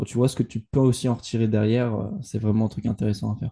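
A man talks at a fairly quick pace and medium pitch in a dark, mellow tone with monotone, flat intonation. The sound is dry and close with no echo, over a quiet background. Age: 20s. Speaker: entrepreneur and podcaster. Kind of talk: casual chat.

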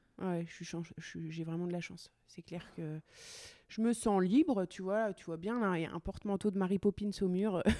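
A woman's medium-pitched voice, dark and mellow in tone, at a fairly slow pace with big swings in loudness, dry and close with no echo, in a very clean recording with a silent background. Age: 30s. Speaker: welder and furniture maker. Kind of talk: casual interview chat. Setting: her workshop. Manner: upbeat, energetic.

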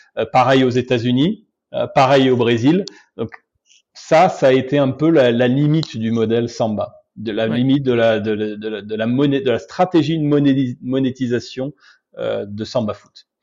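This man talks at a very slow pace, his loudness swinging widely. His pitch sits in the medium range and moves in an ordinary way. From France, Alsace (Obernai). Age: 40s. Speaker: entrepreneur, marketing agency founder. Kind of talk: interview.

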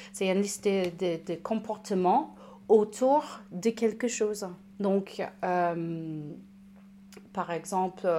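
Her tone is dark and mellow, and a woman speaks at a medium pitch. She goes at a very slow pace with fairly even intonation. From United States. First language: English (speaking French). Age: 30s. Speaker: recovered alcoholic, patient expert. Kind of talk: testimony. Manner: halting, repeats words.

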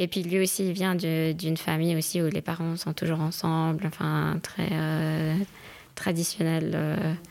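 A woman speaks at a very slow pace with monotone, flat intonation. Her loudness stays very even. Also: fairly low pitch for a woman. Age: 30s. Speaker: lawyer and doctoral student. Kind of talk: casual chat.

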